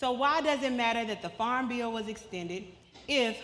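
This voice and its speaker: With an animated tone, a woman speaks at a fairly high pitch and a moderate pace, using ordinary pitch variation amid audible room echo. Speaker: policy advocate. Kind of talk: presentation. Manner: conversational, animated.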